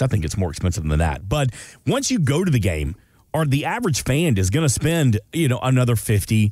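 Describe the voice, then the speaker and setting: A man with an American accent speaks at a fairly quick pace, his somewhat breathy voice swinging very widely in pitch, with a dry, echo-free sound over a quiet background. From US South, Atlanta; US South. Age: 40s. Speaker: radio co-host. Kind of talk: casual chat. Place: studio.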